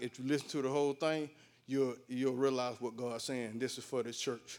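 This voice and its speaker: A man with a Southern US accent, a fairly high pitch and fairly even intonation, in a very clean recording with a silent background. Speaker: lay prophetic minister. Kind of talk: prophecy.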